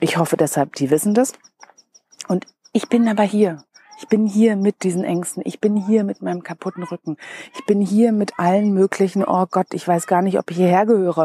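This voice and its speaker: A woman's plain, everyday voice at medium pitch and moderate pace, with a dry, close sound and no echo. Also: ordinary pitch variation. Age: 40s. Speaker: podcast host and business coach. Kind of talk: personal storytelling monologue. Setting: outdoors at night.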